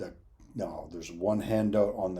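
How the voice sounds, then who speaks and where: Somewhat breathy, a man speaks at a moderate pace with a fairly low pitch and a dark, mellow tone. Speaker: addiction recovery educator. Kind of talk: lecture.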